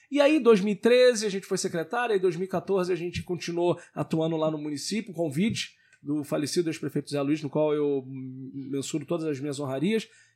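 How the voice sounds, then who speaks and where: Speaking in a plain, everyday voice, a man at a fairly high pitch uses lively intonation at a moderate pace with hardly any pauses. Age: 30s. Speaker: local politician. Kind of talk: interview.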